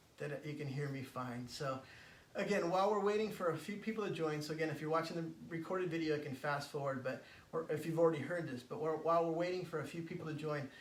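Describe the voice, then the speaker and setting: Amid audible room echo and noticeable background noise, a man with an American accent talks at a very fast pace and a fairly high pitch with ordinary pitch variation. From California, San Francisco. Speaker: spiritual coach. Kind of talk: live stream talk. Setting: Facebook live stream. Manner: halting, many fillers.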